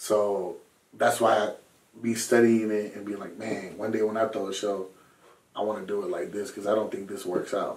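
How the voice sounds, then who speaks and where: Speaking at a moderate pace, a man has a normal speaking voice, fairly low in pitch, with fairly even intonation. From Southern California. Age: 20s. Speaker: rapper and music producer. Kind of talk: casual chat.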